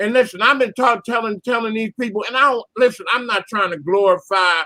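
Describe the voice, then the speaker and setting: A man with a high-pitched voice speaks at a moderate pace, raised and projected, his tone bright and sharp in a dry, close recording with no echo. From US Northeast, Philadelphia. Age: 60s. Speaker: caller. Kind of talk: casual chat. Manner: animated.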